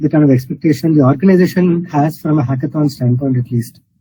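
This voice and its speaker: A man with a fairly high pitch talks in a somewhat breathy voice, his pitch varying in an ordinary way. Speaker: hackathon jury member. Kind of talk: pitch feedback critique. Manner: firm, probing; too quiet at first.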